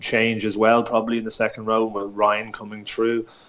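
A man speaks with an Irish accent at medium pitch. His pace is moderate. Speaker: rugby pundit. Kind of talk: sports analysis discussion.

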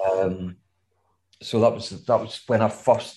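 Against a quiet background, a man with a west of Scotland accent talks at a fairly slow pace, his voice somewhat breathy and his intonation fairly even. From west of Scotland, Gourock. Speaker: music manager. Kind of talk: casual interview chat.

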